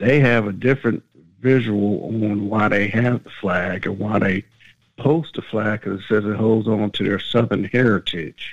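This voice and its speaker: A man speaks in a plain, everyday voice at a moderate pace. His pitch is fairly low and his intonation fairly even. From Brooklyn, New York. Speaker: caller. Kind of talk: call-in opinion.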